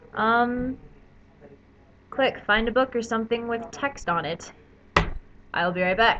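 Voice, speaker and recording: A woman with an American accent, at a fairly slow pace with long, frequent pauses. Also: fairly high pitch for a woman, ordinary pitch variation. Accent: slight southern drawl at times. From Ohio. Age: young. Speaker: video blogger. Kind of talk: casual chat. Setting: webcam recording. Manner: hesitant, many fillers.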